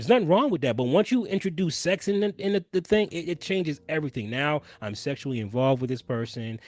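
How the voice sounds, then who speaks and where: A man talking at a fairly quick pace with very wide pitch swings, on a very clean recording with a silent background. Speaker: streamer. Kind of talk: casual chat. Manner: animated.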